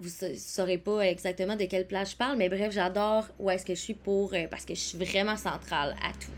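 With a Quebec accent, a woman speaks at a moderate pace and medium pitch. Her intonation is fairly even, but her loudness swings widely. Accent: Québécois French. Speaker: podcast host, wellness coach. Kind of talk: casual solo podcast monologue.

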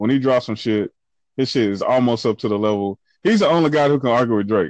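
Here a man speaks at a moderate pace in a medium pitch, with ordinary pitch variation. The sound is dry and close with no echo, over a quiet background. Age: 30s. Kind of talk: casual chat.

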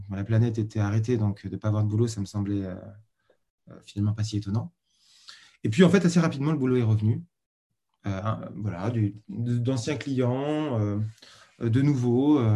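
Speaking at a moderate pace with long, frequent pauses, a man has a dark, mellow tone, medium pitch and ordinary pitch variation. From Paris region, France. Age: 40s. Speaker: freelance designer. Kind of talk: interview.

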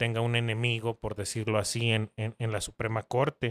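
A man's medium-pitched voice at a moderate pace, very clean recording with a silent background, dry and close with no echo. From northern Mexico, Ciudad Juárez, Chihuahua. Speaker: lawyer. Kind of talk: casual interview. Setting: home office.

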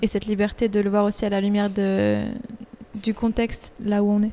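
A woman's medium-pitched voice has a dark, mellow tone and monotone, flat intonation. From Switzerland. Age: 20s. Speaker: university student. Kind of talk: casual chat.

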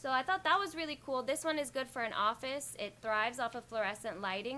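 A high-pitched woman at a fairly quick pace, lively intonation, noticeable background noise. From Jamaica. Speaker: online radio host and plant business owner. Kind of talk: casual live show chat. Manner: relaxed, laid-back.

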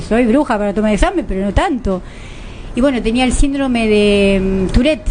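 Over noticeable background noise, a woman talks in a fairly high pitch with lively intonation. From Argentina. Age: 50s. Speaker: lawyer and social worker, co-host. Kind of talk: radio interview.

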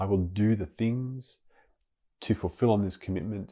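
Against a quiet background, a man with an Australian accent talks at a moderate pace in a fairly low, dark, mellow voice with ordinary pitch variation. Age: 40s. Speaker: podcast host and life coach. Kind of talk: solo monologue podcast. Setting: home bedroom.

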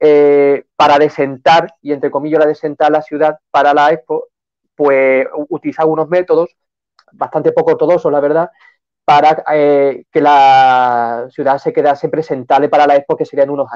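A man speaks in a normal speaking voice, pitched fairly high for a man, at a moderate pace. His intonation stays fairly even, and the sound is dry and close with no echo. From Seville, Andalusia. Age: 20s. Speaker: novelist. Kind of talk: live-stream interview.

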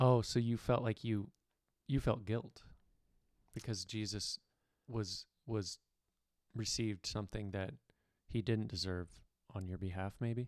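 A fairly low-pitched man at a fairly slow pace, with fairly even intonation and long, frequent pauses. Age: 30s. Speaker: podcast co-host, landscaper. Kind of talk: casual faith discussion.

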